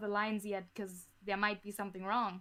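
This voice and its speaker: A woman with a German accent talks at a fairly high pitch. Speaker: audio drama creator. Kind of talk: podcast interview. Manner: halting, frequent repetitions.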